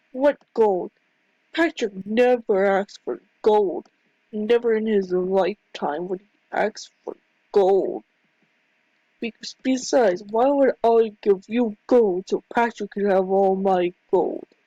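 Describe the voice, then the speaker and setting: In a put-on character voice, a female-sounding speaker talks at a medium pitch and a fairly slow pace. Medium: machinima. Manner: defensive, stubborn.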